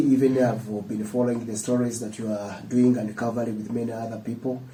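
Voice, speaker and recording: Audible room echo surrounds a man of medium pitch speaking at a fairly quick pace with fairly even intonation. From Uganda, Mpigi district village. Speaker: student leader. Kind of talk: interview.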